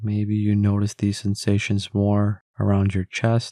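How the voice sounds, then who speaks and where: Very slow and fairly low in pitch, a man speaks with a dark, mellow tone. The sound is dry and close, with no echo. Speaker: meditation guide. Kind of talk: guided meditation, voice only. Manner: calm, slow, gentle.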